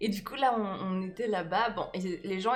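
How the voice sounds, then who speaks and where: A woman speaks at a moderate pace with a medium pitch. Music plays in the background. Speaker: improv actor and comedian. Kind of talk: casual conversation.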